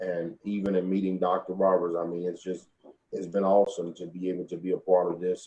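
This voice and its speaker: In an East Texas accent, a man talks at a fairly quick pace with a very deep, low pitch, a dark, mellow tone and monotone, flat intonation. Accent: Southern US (East Texas). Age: 40s. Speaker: funeral home owner. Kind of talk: interview.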